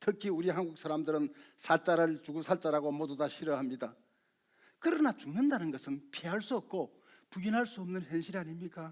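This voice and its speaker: A man with a high-pitched voice at a fairly quick pace, ordinary pitch variation, very clean recording with a silent background. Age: 60s. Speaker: community lecturer. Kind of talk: public talk.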